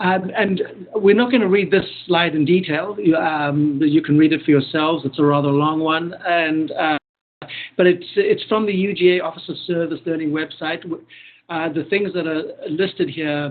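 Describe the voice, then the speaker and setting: A man's high voice with a South African accent, fairly even intonation and a moderate pace. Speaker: professor. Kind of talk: lecture.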